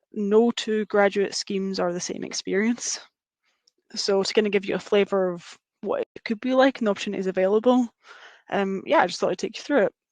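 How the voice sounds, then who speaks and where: A woman speaks at medium pitch and a fairly quick pace, with fairly even intonation but big swings in loudness. The sound is dry and close, with no echo. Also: quiet background. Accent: Scottish. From Scotland. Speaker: engineering graduate. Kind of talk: webinar presentation.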